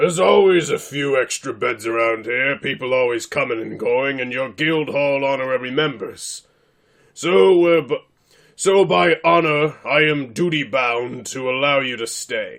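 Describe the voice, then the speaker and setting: Against a quiet background, a man does a put-on character voice at medium pitch and a moderate pace. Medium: actual play. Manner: formal, blunt.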